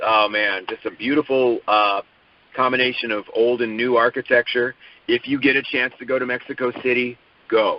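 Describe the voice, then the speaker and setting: A man talks at a moderate pace in a medium pitch, his intonation monotone and flat. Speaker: soap opera actor. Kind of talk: interview.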